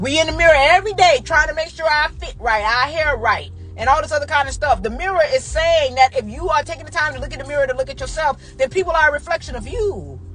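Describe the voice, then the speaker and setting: Over noticeable background noise, a woman talks at a very fast pace with hardly any pauses, an animated tone and big swings in loudness. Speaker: podcast host. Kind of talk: motivational monologue.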